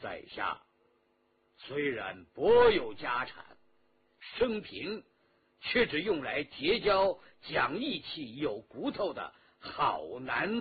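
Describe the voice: This man uses a put-on character voice with a husky, rough edge, pitched fairly high with very wide pitch swings. He speaks at a slow pace.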